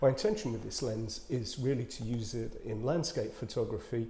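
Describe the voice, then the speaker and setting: A somewhat breathy voice with a dark, mellow tone and a British accent. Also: man. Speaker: photographer, video blogger. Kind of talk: casual tutorial vlog. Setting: outdoors, in a bird hide. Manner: whispering; hesitant, many fillers.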